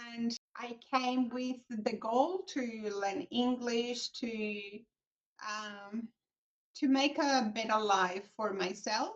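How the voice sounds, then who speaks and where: A woman talks with a Colombian accent in a fairly high voice. Her pace is very slow. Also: ordinary pitch variation. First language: Spanish. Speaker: accountant, business founder. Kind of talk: interview.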